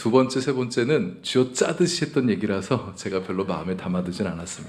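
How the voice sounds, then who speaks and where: Audible room echo surrounds a man's medium-pitched voice. He keeps a calm tone, a moderate pace and lively intonation. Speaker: pastor. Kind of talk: sermon. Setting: church.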